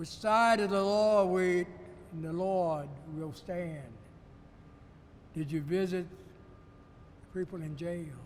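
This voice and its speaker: A man with an American accent speaks at a high pitch and a fairly slow pace, with long, frequent pauses and fairly even intonation. His loudness swings widely, and audible room echo is present. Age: 80s+. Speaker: retired judge. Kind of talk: address to camera. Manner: earnest.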